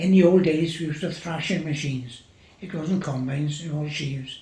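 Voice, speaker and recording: Fairly high male voice, moderate pace, fairly even intonation, with audible room echo. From Wales, Gower. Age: 80s+. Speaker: farmer. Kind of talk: oral history interview.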